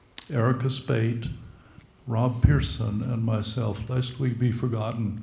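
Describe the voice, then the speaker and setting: Speaking very slowly with audible room echo, a man keeps a medium pitch and ordinary pitch variation. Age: old. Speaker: retired clergy. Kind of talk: church meeting remarks.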